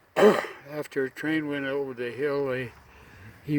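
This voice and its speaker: A man with a fairly high voice talks over noticeable background noise. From Idaho, raised in Utah and Montana. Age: 80s+. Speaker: war veteran. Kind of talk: interview answer.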